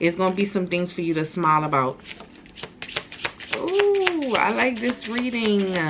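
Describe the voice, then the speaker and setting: Lively in intonation, a woman speaks at a fairly slow pace with long, frequent pauses. Noticeable background noise runs underneath. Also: medium pitch for a woman. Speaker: tarot reader. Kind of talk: channeled tarot reading. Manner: casual, repetitive.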